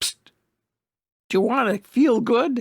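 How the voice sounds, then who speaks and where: A man whispers in a put-on character voice at a moderate pace. The sound is dry and close, with no echo. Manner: whispering, nervous.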